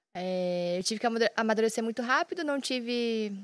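The recording is very clean, and the background is silent. Here a woman talks at a moderate pace, her fairly high pitch showing ordinary pitch variation. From Londrina, Paraná, Brazil. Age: 20s. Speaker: professional poker player, streamer, former taekwondo athlete. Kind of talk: casual chat.

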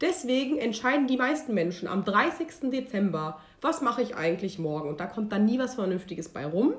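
Over noticeable background noise, a woman speaks at a moderate pace with fairly high pitch and very wide pitch swings. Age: 20s. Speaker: podcast co-host. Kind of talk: casual chat.

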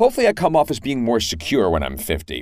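Vocal fry and very wide pitch swings from a man at a fairly quick pace, on a very clean recording with a silent background. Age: 40s. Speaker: podcast host. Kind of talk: solo monologue. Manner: casual.

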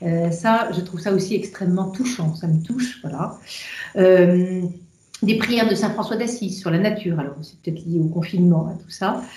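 Against noticeable background noise and audible room echo, a woman is speaking. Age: 50s. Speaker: engineer and energy executive. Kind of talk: interview about faith and career. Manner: hesitant, many filler sounds.

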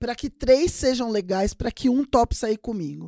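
A woman talks in an animated tone at a fairly high pitch, recorded very cleanly with a silent background and a dry, close sound with no echo. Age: 40s. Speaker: podcast host. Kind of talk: casual monologue.

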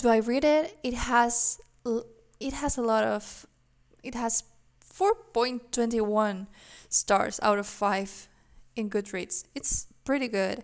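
A woman with a non-native accent speaks at a very slow pace and a fairly high pitch, with ordinary pitch variation and long, frequent pauses. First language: not English. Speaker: book podcaster. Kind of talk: casual monologue. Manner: halting.

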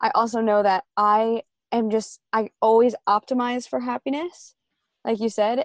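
Here is an unremarkable speaking voice with an American accent. It moves at a fairly slow pace with ordinary pitch variation. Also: woman, fairly high pitch for a woman. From New York. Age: 20s. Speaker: young entrepreneur. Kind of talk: casual interview chat.

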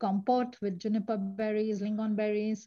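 The woman's voice sits fairly high and is somewhat breathy. She speaks at a moderate pace over a quiet background. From India. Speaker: tourism marketing manager. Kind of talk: interview.

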